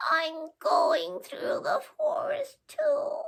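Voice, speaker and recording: The voice is a put-on character voice at an extremely high pitch. It swings very widely in pitch. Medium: read story. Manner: meek, pleading.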